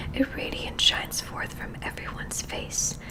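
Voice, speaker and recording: A woman whispers in a calm tone over noticeable background noise. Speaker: ASMR creator. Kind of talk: ASMR spiritual book reading. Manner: soft, calm, whispery.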